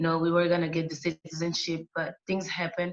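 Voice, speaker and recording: Over music in the background, a woman with a non-native accent speaks at a fairly low pitch. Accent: noticeable foreign. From Angola. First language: Portuguese. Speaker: interview guest. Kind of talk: casual interview. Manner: halting, frequent fillers.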